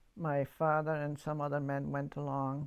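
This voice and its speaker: A woman's very deep, low voice with a German accent, monotone and flat in intonation, at a moderate pace on a very clean recording with a silent background. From Yugoslavia, German-speaking community. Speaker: church member giving testimony. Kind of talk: testimony. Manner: halting.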